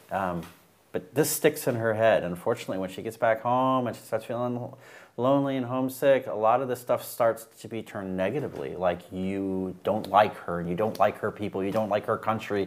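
With an American accent, a man talks at a fairly quick pace in a normal speaking voice, medium in pitch with ordinary variation, on a very clean recording with a silent background. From USA. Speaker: divorced husband sharing advice. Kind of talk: casual interview.

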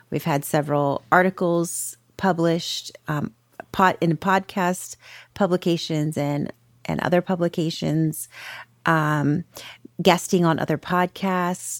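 A woman speaks fairly slowly in a fairly low voice, recorded very cleanly against a silent background with a dry, close sound and no echo. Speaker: podcast coach and co-host. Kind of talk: casual conversational podcast chat. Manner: animated, excitable.

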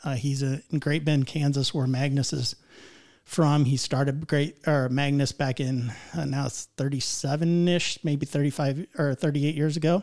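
A man with a fairly high pitch speaks at a moderate pace. His intonation stays fairly even. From US Midwest (northeast Indiana). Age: 50s. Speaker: broadhead company rep and videographer, engineer. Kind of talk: casual podcast interview. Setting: podcast studio.

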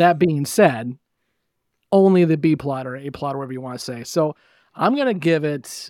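On a very clean recording with a silent background, a man speaks. His pitch is fairly high, with ordinary variation. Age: 30s. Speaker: podcast host guest. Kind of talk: casual chat.

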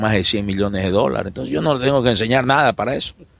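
A man talks with a fairly low pitch. Vocal fry runs through his voice. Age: 50s. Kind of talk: interview.

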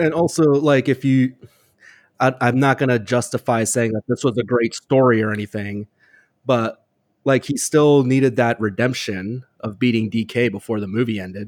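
In a plain, everyday voice, a man talks at a moderate pace and medium pitch with ordinary pitch variation and a dry, close sound with no echo. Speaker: podcast panelist. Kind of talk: casual chat.

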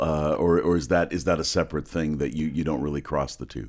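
The speaker is a man. His recording is very clean, and the background is silent. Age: 60s. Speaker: podcast host. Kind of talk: casual interview. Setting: studio.

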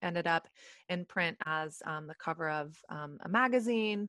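In an American accent, a woman with a fairly low pitch and a bright, sharp tone speaks at a moderate pace with ordinary pitch variation, the sound dry and close with no echo over a quiet background. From Texas. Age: 30s. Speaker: entrepreneur. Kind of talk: interview. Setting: video call.

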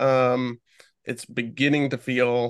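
A man with an ordinary speaking voice talks at a medium pitch with fairly even intonation, the sound dry and close with no echo. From US Midwest. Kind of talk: casual interview chat. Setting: video call.

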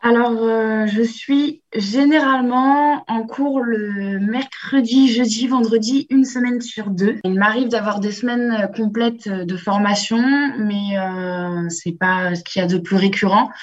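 At a very slow pace with hardly any pauses, a woman speaks in a fairly high pitch with ordinary pitch variation, over noticeable background noise. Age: 20s. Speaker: business master's student, apprentice. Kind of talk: remote interview. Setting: remote call.

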